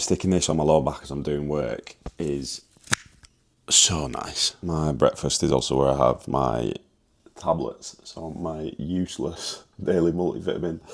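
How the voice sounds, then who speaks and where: A very deep, low-pitched male voice with vocal fry, ordinary pitch variation and a fairly slow pace. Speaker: fitness coach and vlogger. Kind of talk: vlog narration. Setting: at home, kitchen.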